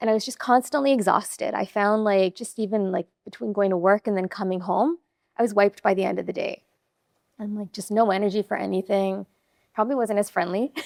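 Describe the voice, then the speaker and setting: A woman with an unremarkable speaking voice talks at a fairly quick pace, medium in pitch with ordinary pitch variation. The sound is dry and close, with no echo. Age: 40s. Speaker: gym member sharing weight-loss story. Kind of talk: podcast interview.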